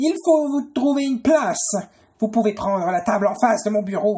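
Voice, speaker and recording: A put-on character voice is used, pitched fairly high. It moves along at a moderate speed. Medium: solo performance. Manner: formal, easily rattled.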